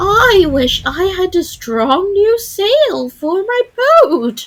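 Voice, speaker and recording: Using a put-on character voice, a woman speaks loudly and very slowly at an extremely high pitch, her pitch swinging very widely. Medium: read story. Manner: bleating, loud.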